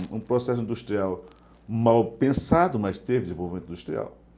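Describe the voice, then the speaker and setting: A man talks at a fairly quick pace and a fairly low pitch, his tone dark and mellow and his intonation lively. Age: 50s. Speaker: journalist and interview host. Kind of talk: interview conversation. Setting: live web broadcast.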